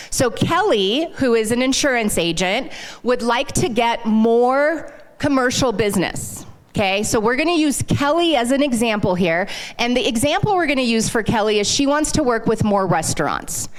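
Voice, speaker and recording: In a room with audible echo, a woman with a high pitch speaks at a moderate pace in an animated tone, her intonation lively and her loudness very even. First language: not English. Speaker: sales consultant. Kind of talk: live workshop presentation. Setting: stage with audience, handheld mic.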